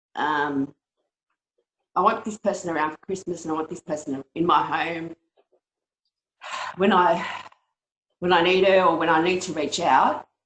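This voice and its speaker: With an Australian accent, the speaker leaves long, frequent pauses. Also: woman, fairly low pitch for a woman, moderate pace. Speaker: webinar participant asking a question. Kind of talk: Q&A question on a video call. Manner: halting, many ums.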